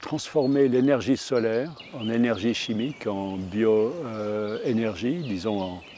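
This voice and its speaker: A man talks at a very slow pace in a dark, mellow tone. His pitch is medium, with ordinary variation. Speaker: forest engineer and wood science professor. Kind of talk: interview answer.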